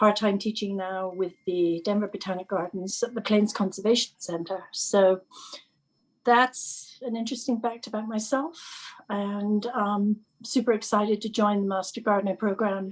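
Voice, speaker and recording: A woman speaks with an English accent at a moderate pace. Her pitch sits in the medium range, and her intonation is fairly even. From England. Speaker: teacher and gardening volunteer trainee. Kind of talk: casual introduction in a group video call.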